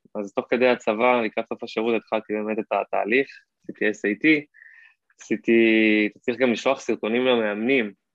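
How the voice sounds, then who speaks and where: A man talks at a moderate pace with a medium pitch and flat, monotone intonation. His loudness swings widely. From Israel, Hod HaSharon. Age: 20s. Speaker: Amazon seller, former college footballer. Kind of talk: podcast interview.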